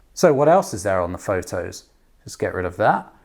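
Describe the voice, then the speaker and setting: A man talks at a fairly quick pace. Vocal fry runs through his voice. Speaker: app co-founder demonstrating language app. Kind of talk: tutorial.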